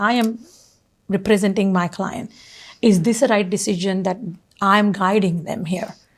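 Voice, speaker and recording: Somewhat breathy and at medium pitch, a woman speaks at a moderate pace with fairly even intonation and long, frequent pauses. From India, Pune, Maharashtra. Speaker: real estate agent and mountaineer. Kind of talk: interview conversation.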